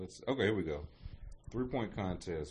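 A man speaks in a somewhat breathy voice. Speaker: podcast host. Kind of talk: casual chat. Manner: animated.

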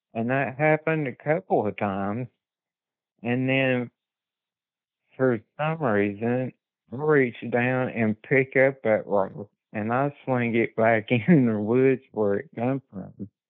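A man with an Appalachian accent, very slow pace, medium pitch and ordinary pitch variation. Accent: Appalachian Southern American. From US South, southwest Virginia Appalachia. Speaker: witness sharing encounters. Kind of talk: casual interview, personal accounts. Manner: halting, repeats words.

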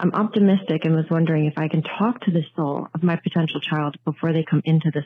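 A woman with an American accent speaks in an ordinary speaking voice, fairly low in pitch, at a fairly quick pace with fairly even intonation. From New Jersey. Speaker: listener caller. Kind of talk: voicemail.

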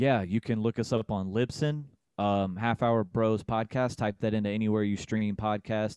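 A man in an ordinary speaking voice, fairly low in pitch, with fairly even intonation, very even loudness and a moderate pace, in a dry, close sound with no echo. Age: 30s. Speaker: podcaster. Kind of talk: casual chat.

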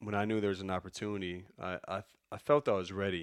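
A man with a normal speaking voice talks at a fairly low pitch and a fairly quick pace. The recording is very clean, the background silent. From Chicago. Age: 30s. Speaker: college basketball assistant coach. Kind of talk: casual interview.

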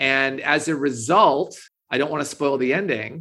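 In an American accent, a man speaks with a bright, sharp tone. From Minnesota. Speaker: author and English professor. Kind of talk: interview.

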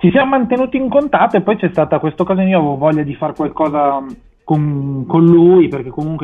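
A man with a plain, everyday voice speaks at a fairly quick pace. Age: 30s. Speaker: singer-songwriter. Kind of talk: radio interview. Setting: phone call.

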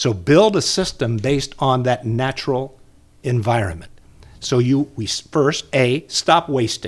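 A man with an American accent and a plain, everyday voice speaks at a fairly slow pace and medium pitch, his intonation lively. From Indiana, Muncie. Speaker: retired broadcaster and storyteller. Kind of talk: casual interview chat.

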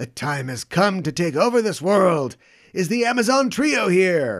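A strained, high-pitched put-on character voice from a man at a moderate pace. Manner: menacing, declaring world conquest.

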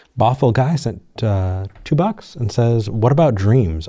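Against a quiet background, a man with a dark, mellow tone and a somewhat breathy voice speaks at a very slow pace with lively intonation. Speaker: call-in show co-host. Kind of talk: casual chat.

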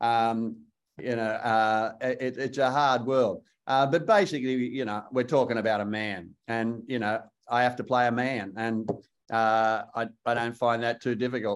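Speaking with an Australian accent, a man keeps a medium pitch. He goes at a fairly slow pace with fairly even intonation. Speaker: actor. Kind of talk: interview. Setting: video call.

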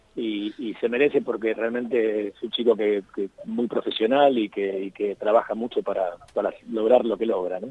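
Fairly even intonation runs through a man's speech amid noticeable background noise. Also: medium pitch for a man, moderate pace. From Argentina. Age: 50s. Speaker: journalist and author. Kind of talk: radio interview. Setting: phone call.

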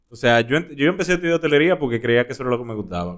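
A man is speaking. His intonation is lively. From Dominican Republic. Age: 30s. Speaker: actor. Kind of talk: casual chat. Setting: studio.

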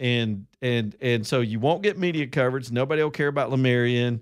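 A man's medium-pitched voice with an Alabama accent, lively intonation and a fairly quick pace, in a very clean recording with a silent background. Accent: Southern US (Alabama). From Alabama, US South (Roanoke). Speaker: talk radio host. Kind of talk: talk radio monologue.

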